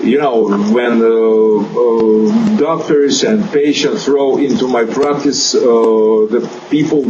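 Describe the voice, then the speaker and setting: A man with a Russian accent at a very slow pace and lively intonation, amid noticeable background noise and audible room echo. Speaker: chiropractor. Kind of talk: interview. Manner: halting, many fillers.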